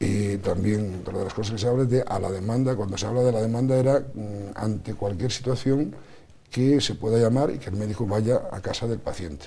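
With light background noise behind him, a man talks at a fairly quick pace with ordinary pitch variation. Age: 50s. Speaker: politician. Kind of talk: TV interview. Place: studio. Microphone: lapel.

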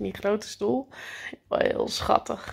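At a moderate pace, a woman speaks against a quiet background. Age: 40s. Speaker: vlogger. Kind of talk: casual vlog talk. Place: home room. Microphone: phone near.

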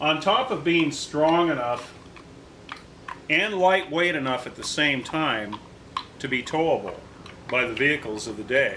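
With light noise in the background, a man talks at a moderate pace. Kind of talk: tutorial. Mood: relaxed, occasionally laughing. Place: garage.

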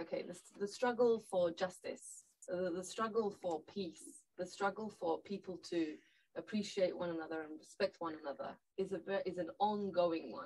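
Speaking with a Turkish accent, a woman keeps a moderate pace and ordinary pitch variation. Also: medium pitch for a woman. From Northern Cyprus (Turkish Cypriot). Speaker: lawyer and party leader; lawyer. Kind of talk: panel discussion. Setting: studio. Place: studio.

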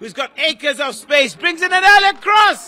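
Over noticeable background noise, a raised, projected voice carries an animated tone. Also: man. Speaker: football match commentator. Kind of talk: live sports commentary. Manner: animated, excitable, rising to shouts on chances and goals.

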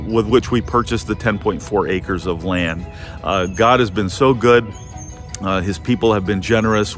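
With clear music in the background, a man speaks at a moderate pace in a fairly low pitch with ordinary pitch variation, and the sound is dry with no echo. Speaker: church pastor. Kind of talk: casual update then prayer. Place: open country. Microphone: phone near.

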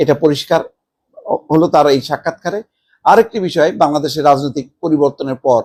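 A man with an ordinary speaking voice, pitched fairly high for a man. His pitch varies in an ordinary way, and the sound is dry and close with no echo. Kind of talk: news commentary.

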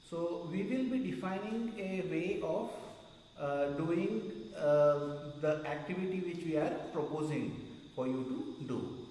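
A man's high-pitched voice with audible room echo and light background noise. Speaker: meditation teacher. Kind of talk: instructional talk to retreat group. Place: hall.

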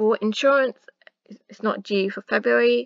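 A woman with a South East England accent speaks at a moderate pace, her voice dry and close with no echo. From Luton, England. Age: 20s. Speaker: personal finance YouTuber. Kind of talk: casual talk to camera.

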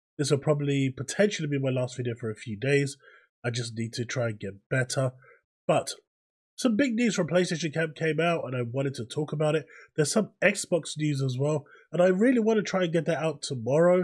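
The voice is somewhat breathy, with lively intonation and a fairly quick pace. The recording is very clean, with a silent background. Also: man, fairly high pitch for a man. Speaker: gaming news youtuber. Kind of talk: casual commentary to camera. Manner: voice going in and out.

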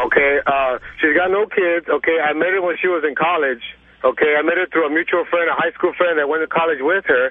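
With music in the background, a man speaks at a fairly quick pace in a high pitch, his intonation fairly even. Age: 20s. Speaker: caller. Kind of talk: phone-in call. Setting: phone call.

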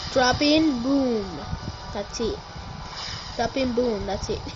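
Music sounds in the background. Over it, a woman talks. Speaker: gamer. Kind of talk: casual gameplay commentary. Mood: playful, joking. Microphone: phone near.

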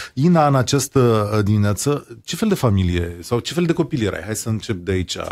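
In a normal speaking voice, a man talks at a moderate pace and medium pitch, with lively intonation. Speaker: radio host. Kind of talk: interview.

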